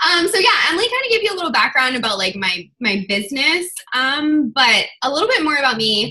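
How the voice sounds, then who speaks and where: Fairly quick, raised and projected speech from a woman, high-pitched, with very wide pitch swings and hardly any pauses. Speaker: online fitness coach giving a talk. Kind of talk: team video call presentation. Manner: fast.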